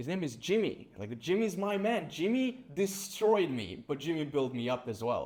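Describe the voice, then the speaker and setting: A man speaks with a Serbian accent at a moderate pace. His pitch is high and swings very widely. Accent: Serbian accent, sometimes taken for Russian. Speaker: sales agency founder. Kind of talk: casual chat. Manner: casual, peppered with like and bro.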